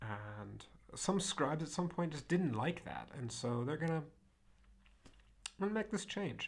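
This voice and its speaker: Using very wide pitch swings and vocal fry, a man with an American accent talks at a moderate pace in a fairly high pitch. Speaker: Latin teacher. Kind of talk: lecture. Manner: many fillers and self-corrections.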